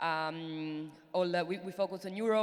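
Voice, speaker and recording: A woman speaks with a fairly low pitch. Her intonation is monotone and flat. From Italy. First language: Italian. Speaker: venture capital investor. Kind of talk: panel discussion. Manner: hesitant, many fillers.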